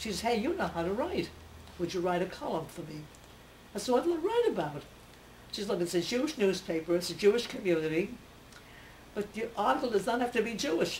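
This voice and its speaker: A woman talks at a very fast clip with a medium pitch and very wide pitch swings. Long pauses come often, and background noise is noticeable. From Russia, Odessa. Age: 90s. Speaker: centenarian newspaper columnist. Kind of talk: interview, personal reminiscence. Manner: halting, with hesitations.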